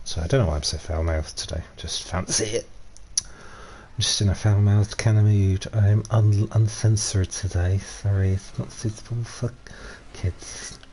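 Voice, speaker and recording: A man speaks quietly in a Yorkshire accent at a moderate pace. His tone is dark and mellow and somewhat breathy. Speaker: gaming streamer. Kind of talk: live gameplay commentary. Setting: live stream. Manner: casual, rambling with fillers. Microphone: stream volume a bit quiet.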